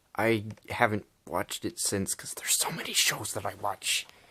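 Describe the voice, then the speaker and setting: Against noticeable background noise, a man talks at a fairly slow pace with a fairly low pitch. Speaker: YouTuber. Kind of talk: casual haul video talk. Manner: animated.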